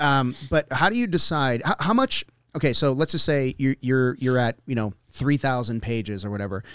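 An unremarkable speaking voice moves at a moderate pace with ordinary pitch variation in a very clean recording, its silent background and dry, close sound free of echo. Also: man, medium pitch for a man. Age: 50s. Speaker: podcast host and jiu-jitsu academy owner. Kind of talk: casual interview chat; show intro and outro.

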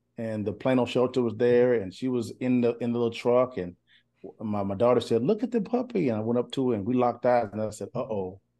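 A man at medium pitch, with a dark, mellow tone, talks very fast against a quiet background. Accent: East Texas. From East Texas. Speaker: podcast guest, married couple sharing their story. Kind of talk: casual interview conversation. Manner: animated, stammering repetitions.

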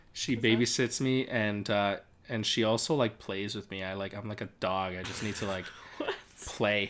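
Against noticeable background noise, a man speaks fairly slowly in a fairly low voice, his loudness swinging widely. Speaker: podcast co-host. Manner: loud, shouting at times.

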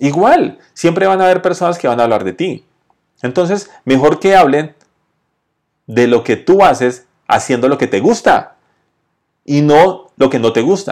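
The delivery is fairly slow, with lively intonation and long, frequent pauses. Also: man, fairly high pitch for a man. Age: 40s. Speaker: podcast host on entrepreneurship and sales. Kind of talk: motivational monologue with storytelling. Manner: conversational.

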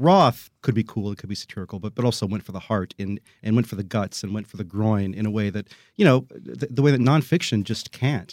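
A man speaks at a very fast pace and a fairly low pitch. The sound is dry and close with no echo, and his pitch varies in an ordinary way. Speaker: book critic. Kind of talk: panel discussion. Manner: halting, hesitant, repeats words.

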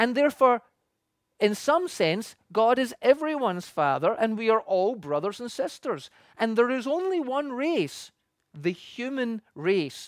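A fairly slow voice in a Scottish accent, on a very clean recording with a silent background. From Scotland. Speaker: pastor. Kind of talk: sermon.

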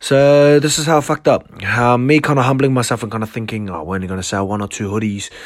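A man rattles along at a very fast pace with hardly any pauses, medium pitch and ordinary pitch variation, amid noticeable background noise. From New Zealand, South Auckland. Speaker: podcast host, clothing brand owner. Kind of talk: casual solo monologue. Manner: halting, many fillers.

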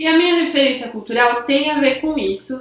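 Noticeable background noise sits under this woman's voice. Audible room echo is also present. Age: 20s. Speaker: podcast co-host. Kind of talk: casual chat.

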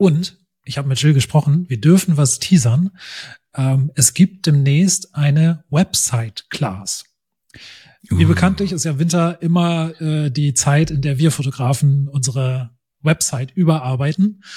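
A man with a fairly high, dark and mellow voice speaks at a fairly slow pace, somewhat breathy, with ordinary pitch variation. The sound is dry and close, with no echo. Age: 40s. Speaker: podcast host, photographer. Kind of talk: casual chat.

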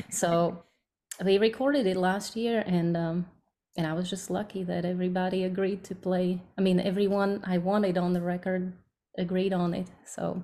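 Her tone dark and mellow, a woman speaks at a medium pitch and a moderate pace in a monotone, flat intonation. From Slovakia. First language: Slovak. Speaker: bluegrass singer. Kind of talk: casual interview.

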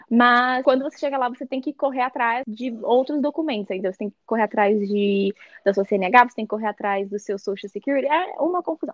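Her voice is high, and her intonation is lively. The woman speaks at a fairly quick pace with hardly any pauses. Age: 20s. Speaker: former au pair. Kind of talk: casual interview. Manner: halting.

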